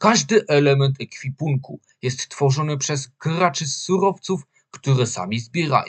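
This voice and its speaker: With lively intonation, a man speaks at a fairly high pitch in a somewhat breathy voice. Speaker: voice-over narrator. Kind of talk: video game commercial read. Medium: dub.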